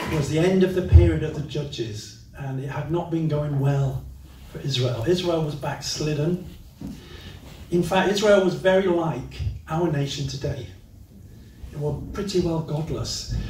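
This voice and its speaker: A man's dark, mellow tone with vocal fry, at a moderate pace with long, frequent pauses, plus light background noise and audible room echo. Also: ordinary pitch variation. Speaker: preacher. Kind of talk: sermon. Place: hall.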